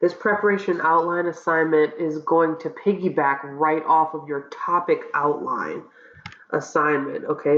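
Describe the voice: A woman's low pitch, fairly even intonation and fairly slow pace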